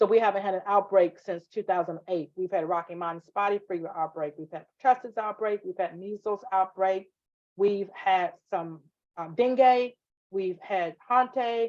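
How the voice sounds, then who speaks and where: A woman in a Southern US accent speaks with big swings in loudness and ordinary pitch variation. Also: medium pitch for a woman, moderate pace. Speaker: nursing instructor. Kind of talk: online class lecture. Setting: live video class. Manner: animated.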